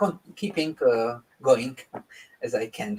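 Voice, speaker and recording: At a very slow pace, a man speaks in a fairly high voice with very wide pitch swings. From Czech Republic. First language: Czech. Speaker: composer. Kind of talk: interview. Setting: live online broadcast. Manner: halting, many fillers and restarts.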